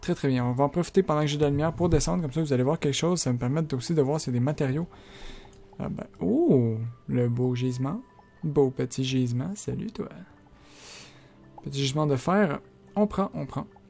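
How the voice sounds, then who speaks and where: With music in the background, a man with a fairly high pitch and ordinary pitch variation talks at a fairly quick pace, broken by long, frequent pauses. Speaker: gaming YouTuber. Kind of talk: let's play commentary. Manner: fast.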